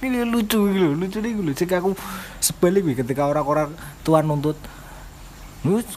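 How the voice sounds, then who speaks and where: A man speaks with a high pitch and lively intonation. Noticeable background noise is present. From Java. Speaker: podcast co-host. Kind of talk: casual chat.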